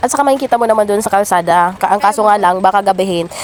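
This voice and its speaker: With noticeable background noise behind her, the woman talks at a very fast pace, her medium pitch showing ordinary variation. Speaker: vlogger. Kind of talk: vlog voiceover narration. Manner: casual, chatty.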